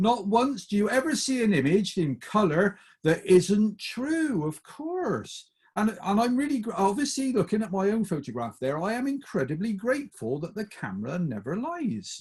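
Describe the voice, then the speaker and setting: A man with a Bristol accent speaks high, with very wide pitch swings and an animated tone. He keeps a moderate pace with hardly any pauses. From England, Bristol. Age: 50s. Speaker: motivational speaker. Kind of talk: talk to a group.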